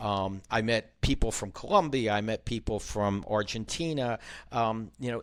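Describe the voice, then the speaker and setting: In an American accent, a man with an unremarkable speaking voice talks at a moderate pace and medium pitch, with ordinary pitch variation. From Philadelphia, US. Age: 60s. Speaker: novelist and former business consultant. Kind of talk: casual interview chat. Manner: frequent filler ums.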